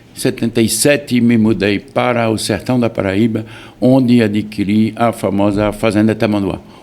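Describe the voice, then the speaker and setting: A man speaks at a moderate pace in a flat monotone, his loudness very even, with noticeable background noise behind him. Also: fairly low pitch for a man. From France. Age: 70s. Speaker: farm owner and businessman. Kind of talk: interview.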